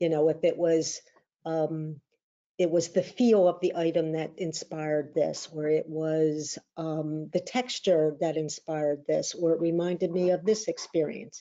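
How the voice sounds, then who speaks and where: Against a quiet background, a woman with an American accent speaks at a fairly slow pace and fairly low pitch, keeping her intonation fairly even. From US Northeast, Philadelphia. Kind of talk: webinar presentation. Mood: reflective, relaxed. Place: home room. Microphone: webcam.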